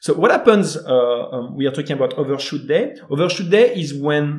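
A man speaks with lively intonation and a French accent. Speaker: environmental speaker. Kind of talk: interview explanation. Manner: halting.

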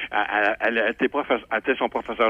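Here a man is speaking. His pace is very fast. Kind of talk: casual chat.

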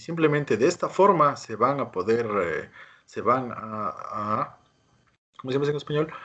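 A man's lively intonation rises and falls as he talks at a moderate pace. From Ecuador, Quito. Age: young. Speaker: plastic surgeon. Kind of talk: interview. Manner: halting.

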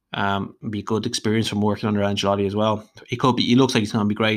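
A man with an Irish accent speaks at a fairly low pitch. He goes at a very fast pace with hardly any pauses. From Ireland, Dublin. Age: 30s. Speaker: football fan podcaster. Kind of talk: solo monologue podcast. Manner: animated, ranting.

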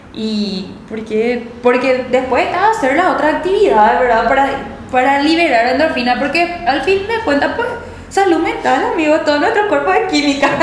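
The speech moves at a moderate pace with very wide pitch swings, set against noticeable background noise and audible room echo. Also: woman, high pitch for a woman. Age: young. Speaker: accountant. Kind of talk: casual chat.

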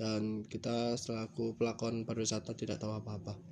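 Music plays in the background as a man speaks at a medium pitch and a moderate pace. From Bali, Badung. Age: 20s. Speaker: culinary student and podcaster. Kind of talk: casual solo monologue. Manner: halting.

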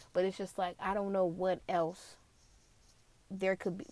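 A woman with an American accent speaks at a moderate pace. Her pitch is medium. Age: 20s. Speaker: podcast host. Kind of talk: solo commentary.

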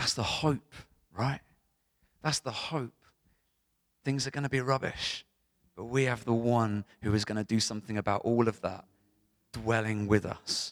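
Recorded very clean and dry, close with no echo and a silent background, a man talks at a moderate pace. His pitch is medium, his intonation fairly even, and he leaves long, frequent pauses. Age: 30s. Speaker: pastor. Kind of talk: sermon. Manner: casual, conversational.

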